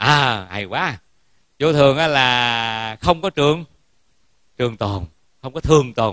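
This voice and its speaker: A man with a bright, sharp tone at a very slow pace, long, frequent pauses throughout, in a dry sound with no echo and a quiet background. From Vietnam. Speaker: Buddhist monk giving a Dharma talk. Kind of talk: sermon. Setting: temple hall with audience. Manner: formal. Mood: warm, humorous. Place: hall. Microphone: handheld.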